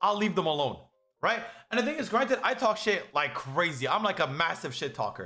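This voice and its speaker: Over background music, a raised, projected voice comes through with an animated tone at a fairly quick pace. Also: man. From Canada. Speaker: streamer. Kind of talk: casual chat. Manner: loud.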